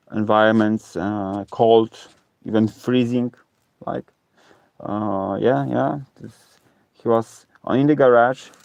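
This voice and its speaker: A man's very slow, fairly low voice in a Polish accent, with ordinary pitch variation, big swings in loudness, and long, frequent pauses, in a dry, close sound with no echo. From Poland. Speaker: live streamer and ocarina player. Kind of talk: casual live stream chat. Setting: reworked garage, live stream from laptop. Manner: halting, many fillers. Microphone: low stream quality from old laptop.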